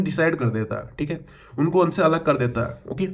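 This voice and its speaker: A man's speech carries ordinary pitch variation and a moderate pace, with audible room echo around it. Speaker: computer science tutor. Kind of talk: lecture. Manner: halting, with many fillers.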